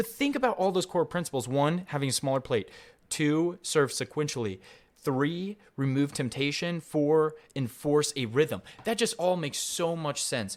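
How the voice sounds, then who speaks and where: In a very clean recording with a silent background, a man talks at a moderate pace in a normal speaking voice, with a fairly high pitch and lively intonation. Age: young. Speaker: podcast host. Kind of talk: solo podcast monologue on a business book.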